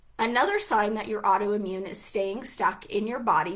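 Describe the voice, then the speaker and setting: Noticeable background noise sits behind a woman's voice. She speaks at a medium pitch and a moderate pace. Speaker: hypnosis and healing coach. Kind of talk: live webinar class. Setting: livestream.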